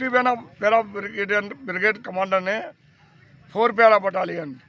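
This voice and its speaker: A man projects a raised voice at a high pitch. His intonation stays fairly even. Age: 80s+. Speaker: war veteran. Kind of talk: interview.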